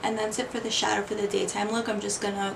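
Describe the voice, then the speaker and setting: A woman speaks quietly at a medium pitch in a monotone, flat intonation. Audible room echo and noticeable background noise come through. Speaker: beauty vlogger. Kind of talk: makeup tutorial. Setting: bedroom. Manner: quiet, hushed.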